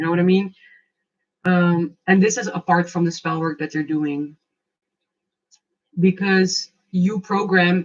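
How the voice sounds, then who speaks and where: This woman talks at a fairly slow pace, leaving long, frequent pauses. Her voice is fairly low in pitch and somewhat breathy. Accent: non-native. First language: not English. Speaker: tarot and oracle card reader. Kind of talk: live oracle card reading. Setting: livestream. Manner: casual, animated.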